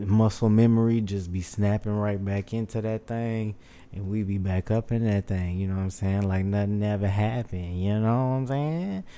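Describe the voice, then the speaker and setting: A man with an American accent, a dark, mellow tone, fairly low pitch, fairly even intonation and a moderate pace. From Houston, Texas. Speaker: podcast host. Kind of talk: casual monologue. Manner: laid-back, laughing.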